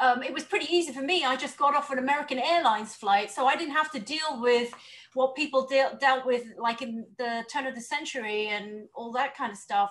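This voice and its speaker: Speaking fairly quickly with a British accent, a woman uses a high voice with ordinary pitch movement over noticeable background noise. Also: hardly any pauses. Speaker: panelist. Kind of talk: panel discussion.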